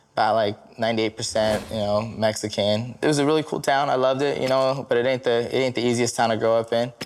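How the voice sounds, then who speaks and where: Speaking very fast, a man with an American accent holds a medium pitch in a monotone, flat intonation. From Santa Ana, California. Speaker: MMA fighter. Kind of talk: interview testimony.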